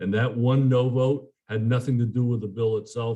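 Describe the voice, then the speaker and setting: A man speaks at a moderate pace in a medium pitch, his voice somewhat breathy with a dark, mellow tone. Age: 70s. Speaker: politician. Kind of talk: press conference Q&A. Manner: halting, many fillers and repeats.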